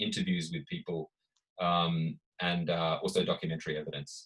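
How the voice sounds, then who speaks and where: A man with an Australian accent talks at a fairly quick pace, his pitch swinging very widely. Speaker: author and researcher. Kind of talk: panel discussion at book launch. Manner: hesitant, many fillers.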